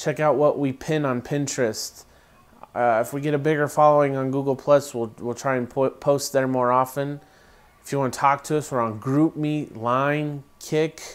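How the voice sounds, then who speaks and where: A man speaks at a fairly high pitch. His intonation stays monotone and flat. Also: moderate pace. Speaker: co-founder of a gluten-free food channel, vlogger; vlogger. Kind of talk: casual vlog monologue. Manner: hesitant, many fillers. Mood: earnest, urging.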